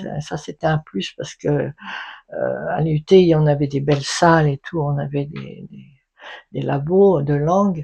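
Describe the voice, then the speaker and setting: In a very deep, low voice, a woman speaks at a very slow pace with fairly even intonation. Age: 70s. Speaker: retired English teacher. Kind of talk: interview answer. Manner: casual, chatty.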